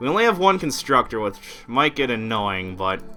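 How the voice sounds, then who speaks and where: A man with a fairly low voice speaks at a moderate pace, his pitch varying in an ordinary way, with music playing in the background. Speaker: let's play gamer. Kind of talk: gaming commentary. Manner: casual, conversational.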